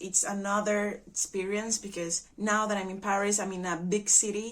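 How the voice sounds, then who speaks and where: Speaking at a moderate pace, a woman with a Spanish accent keeps her medium-pitched voice in a monotone, flat intonation. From Venezuela. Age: 20s. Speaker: au pair. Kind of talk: testimony.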